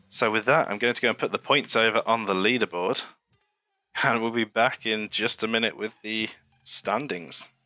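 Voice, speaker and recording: A man talks with fairly even intonation while music plays in the background. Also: medium pitch for a man, moderate pace, dry, close sound with no echo. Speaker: streamer and race commentator. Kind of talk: live commentary. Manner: calm, relaxed; even, not hyped.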